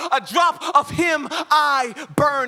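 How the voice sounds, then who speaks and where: The man's tone is bright and sharp. He talks in a raised, projected voice. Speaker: spoken word poet. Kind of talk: live spoken word poetry performance. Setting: live conference stage.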